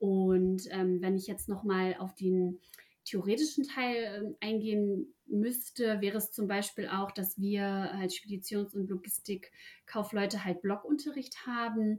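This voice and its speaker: Somewhat breathy, a woman speaks at a fairly slow pace. Her pitch is medium, with ordinary variation. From Ruhr area, Germany. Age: 20s. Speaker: apprentice. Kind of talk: interview.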